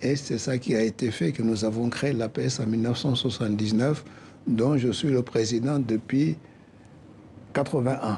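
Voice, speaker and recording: Speaking in a West African accent, a man with a medium-pitched, somewhat breathy voice and a dark, mellow tone talks at a fairly slow pace with fairly even intonation and long, frequent pauses. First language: Soninke (speaking French). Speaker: association president. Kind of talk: interview.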